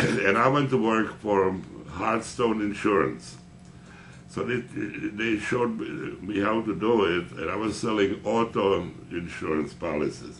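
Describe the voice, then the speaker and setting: In a room with audible echo, a man with a fairly low pitch and vocal fry talks at a fairly slow pace with ordinary pitch variation. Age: 80s+. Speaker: veteran insurance salesman. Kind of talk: interview.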